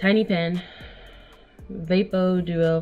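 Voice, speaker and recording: Behind a woman's voice, music plays faintly. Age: 20s. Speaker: vlogger. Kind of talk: casual talk to camera. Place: home room.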